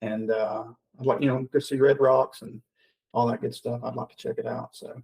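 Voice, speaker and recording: A man's medium-pitched, somewhat breathy voice at a moderate pace, fairly even in intonation, with big swings in loudness and a dry, close sound with no echo. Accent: Southern US. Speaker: podcast host. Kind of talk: casual chat. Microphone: mic too quiet or too hot.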